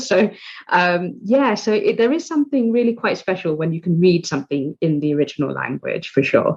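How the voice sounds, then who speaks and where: Somewhat breathy, a woman talks at a fairly quick pace and medium pitch. Her pitch swings very widely. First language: Bengali. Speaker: journalist and podcast host. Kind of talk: interview conversation. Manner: hesitant, many fillers.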